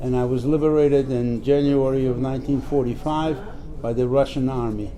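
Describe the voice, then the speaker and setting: A man at medium pitch, flat and monotone, fairly quick, with audible room echo and noticeable background noise. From Poland. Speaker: Holocaust survivor. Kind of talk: interview. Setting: press office. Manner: halting.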